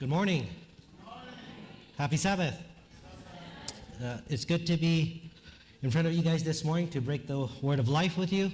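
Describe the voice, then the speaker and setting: With audible room echo, the speech goes at a moderate pace with ordinary pitch variation and long, frequent pauses. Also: man, fairly high pitch for a man. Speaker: chaplain, guest preacher. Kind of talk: sermon. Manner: casual, conversational.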